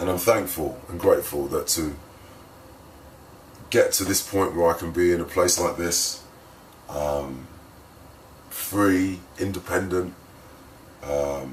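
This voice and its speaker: A man with a very deep, low pitch, at a very slow pace with long, frequent pauses, amid audible room echo and noticeable background noise. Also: ordinary pitch variation. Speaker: spoken word poet. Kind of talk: casual vlog intro before poem. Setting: hotel room.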